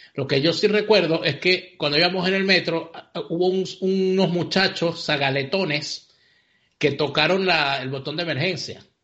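This man's voice sits high in pitch. He talks at a moderate pace with fairly even intonation. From Venezuela, Vargas. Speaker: political commentator. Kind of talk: casual chat.

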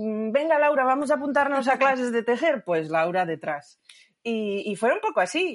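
A woman speaks at a moderate pace in a high pitch, with very wide pitch swings. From Asturias, Spain. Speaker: yarn shop owner and knitter. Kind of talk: casual interview.

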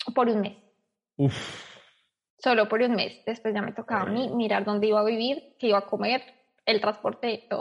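A plain, everyday voice speaks with fairly even intonation. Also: woman. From Colombia, Bogotá. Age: 20s. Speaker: emigrant sharing her experience. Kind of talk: casual interview.

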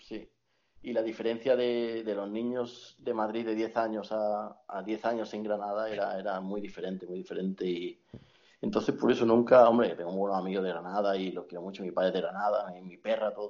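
Keeping a fairly even intonation, a man speaks at a fairly quick pace with a fairly low pitch. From Spain, moved around; Andalusia. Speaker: friend of the host. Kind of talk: casual chat. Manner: halting, repeats words.

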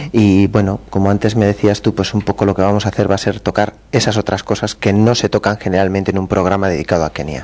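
A man speaks at a very fast pace with hardly any pauses. His voice is fairly low, with fairly even intonation. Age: 30s. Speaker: travel agency member. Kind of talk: radio interview.

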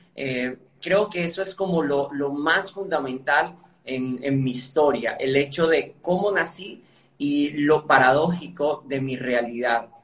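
A man speaks very slowly at a fairly high pitch, with ordinary pitch variation. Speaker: motivational speaker and author. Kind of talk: interview.

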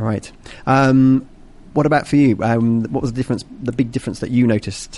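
This is a man speaking. He has a British accent. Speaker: English teacher and radio host. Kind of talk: interview-style English lesson on air. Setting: on location at a company office. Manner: animated.

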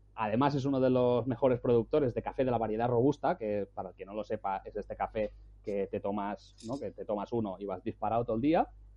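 Words come at a very fast pace with hardly any pauses. The pitch varies an ordinary amount. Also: man, medium pitch for a man. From Spain. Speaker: travel blogger. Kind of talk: casual chat. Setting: at home.

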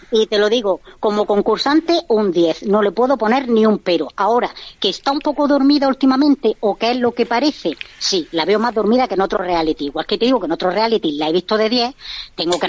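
Over noticeable background noise, a woman talks very fast at a medium pitch with lively intonation, the sound dry and close with no echo. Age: 30s. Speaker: reality TV fan commentator. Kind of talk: radio interview, casual chat. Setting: remote call-in from abroad. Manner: animated. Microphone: clear line.

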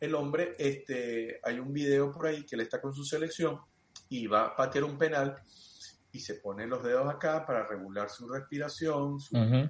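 Man at a fairly high pitch and moderate pace, with ordinary pitch variation and big swings in loudness. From Venezuela (Los Teques, Mérida). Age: 40s. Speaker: sports coach. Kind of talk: interview. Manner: halting, repeats words.

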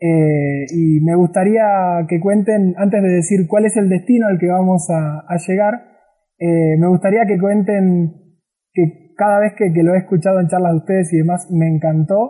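Holding a very even loudness, a man speaks at a high pitch with a dark, mellow tone. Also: fairly even intonation, fairly slow pace. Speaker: travel podcast host. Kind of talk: interview. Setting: remote call.

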